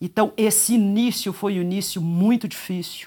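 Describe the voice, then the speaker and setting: A moderate pace and fairly even intonation on a very clean recording with a silent background. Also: woman. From Brazil. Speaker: judge. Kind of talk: interview.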